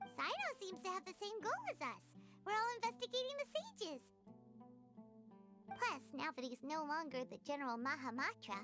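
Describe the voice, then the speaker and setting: A put-on character voice at a high pitch and moderate pace, with clear music in the background. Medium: game stream. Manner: casual, expressive.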